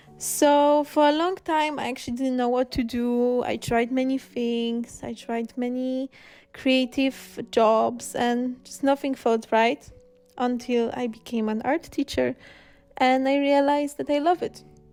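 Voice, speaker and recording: Music plays in the background. The speech is fairly slow with fairly even intonation. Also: woman, high pitch for a woman. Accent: Slavic. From Poland. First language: Polish. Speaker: illustrator and art teacher. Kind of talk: painting tutorial with personal introduction.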